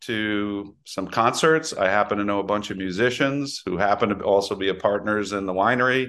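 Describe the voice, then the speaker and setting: Against a quiet background, a man speaks at a moderate pace in a fairly low pitch. He has a normal speaking voice with fairly even intonation. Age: 60s. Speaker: winery owner. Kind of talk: interview.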